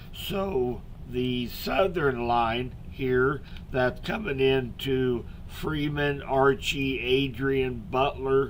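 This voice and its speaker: American-accented male voice at a medium pitch with ordinary pitch variation, very slow pace and audible room echo. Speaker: local weather forecaster. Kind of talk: live weather update stream. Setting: live stream with chat. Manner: soft-spoken; casual with many fillers.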